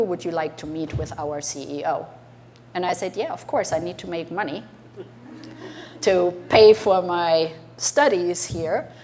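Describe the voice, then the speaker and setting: At a moderate pace, a woman with a German accent speaks at a fairly low pitch with ordinary pitch variation, against noticeable background noise. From Germany. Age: 60s. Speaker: entrepreneur. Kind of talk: talk to an audience.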